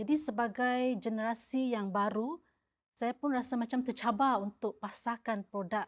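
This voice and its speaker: Speaking at a moderate pace, a woman uses an unremarkable speaking voice with a fairly high pitch and ordinary pitch variation. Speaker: pepper business founder. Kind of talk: interview answer.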